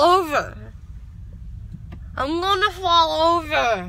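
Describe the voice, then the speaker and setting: A woman's raised, projected voice in a dry sound with no echo. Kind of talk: casual vlog chat. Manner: groggy, slurred, numb-mouthed speech. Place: car. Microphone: phone near.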